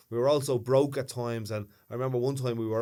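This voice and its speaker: Dark and mellow in tone, a man's medium-pitched voice holds fairly even intonation. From Ireland, Dublin, Ballymun (north side). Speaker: podcast co-host. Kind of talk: casual chat.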